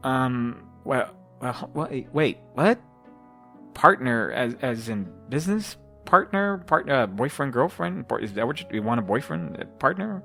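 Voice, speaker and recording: A put-on character voice, shaky and nervous in tone, swings very widely in pitch. It moves at a moderate pace with music in the background. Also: man, medium pitch for a man. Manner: nervous, flustered.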